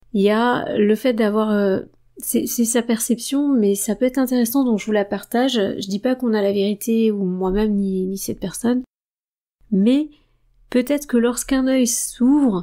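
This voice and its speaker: A woman's fairly high voice, dark and mellow in tone, at a fairly slow pace with fairly even intonation. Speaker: esoteric book reader and commentator. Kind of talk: reading aloud with commentary. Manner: halting, many fillers and repetitions.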